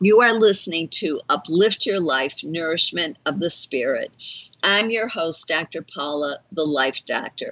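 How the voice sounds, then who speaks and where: Speaking at a fairly slow pace, a woman with an ordinary speaking voice uses a fairly low pitch and lively intonation. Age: 60s. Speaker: talk radio host, life coach. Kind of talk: radio show hosting. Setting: internet radio studio.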